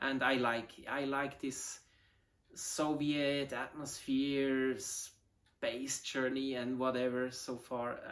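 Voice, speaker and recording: A man in a Swiss German accent, medium in pitch, very slow, with monotone, flat intonation. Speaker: model rocket hobbyist. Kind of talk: casual video intro. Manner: halting, many fillers.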